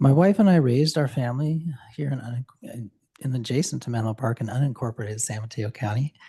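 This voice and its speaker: A man talks very fast at a medium pitch, his tone dark, mellow and somewhat breathy, with ordinary pitch variation. The sound is dry and close, with no echo. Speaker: public commenter. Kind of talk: public comment. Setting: council meeting. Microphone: speaking close to the microphone.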